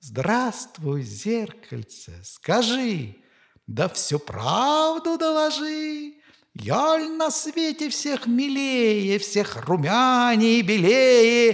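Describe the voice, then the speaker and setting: A man puts on a character voice, pitched extremely high for a man and swinging very widely in pitch. He talks at a very slow pace. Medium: read story. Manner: haughty, imperious.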